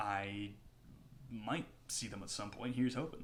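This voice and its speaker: Audible room echo surrounds the voice of a man. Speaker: music YouTuber. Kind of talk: video review monologue. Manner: hesitant fillers.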